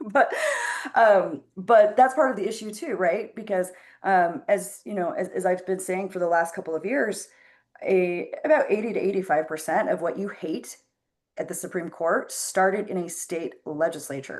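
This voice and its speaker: In a quiet setting, a woman talks at a moderate pace. Her medium-pitched voice has lively intonation. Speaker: political activist. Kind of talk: casual chat. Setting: video call. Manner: loud, impassioned.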